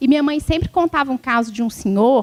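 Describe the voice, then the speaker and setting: Very fast speech in a rural Minas Gerais accent, with a dry, close sound and no echo. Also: woman. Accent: mineiro, rural interior Minas. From Brazil, interior of Minas Gerais. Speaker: law professor, electoral law speaker. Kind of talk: lecture. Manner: conversational, informal.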